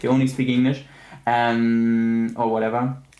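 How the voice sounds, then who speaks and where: A man with a German accent, medium pitch and a moderate pace. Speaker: streamer. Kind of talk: casual chat. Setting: live stream.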